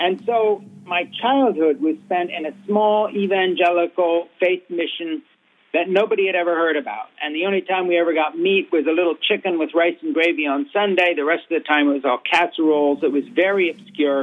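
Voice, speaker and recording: With an American accent, a man speaks at a fairly quick pace in a high voice. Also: ordinary pitch variation. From Switzerland, American parents. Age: 60s. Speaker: author. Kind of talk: radio interview. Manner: fluent, long sentences.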